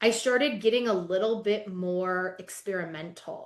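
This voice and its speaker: This woman talks with lively intonation. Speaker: life coach. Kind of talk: podcast interview. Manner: loud.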